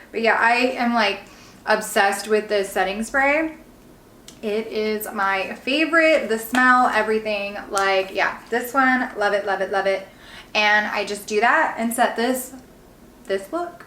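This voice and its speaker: A woman's fairly high voice at a fairly slow pace, with audible room echo and noticeable background noise. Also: ordinary pitch variation. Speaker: beauty vlogger and real estate agent. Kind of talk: makeup tutorial. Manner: animated.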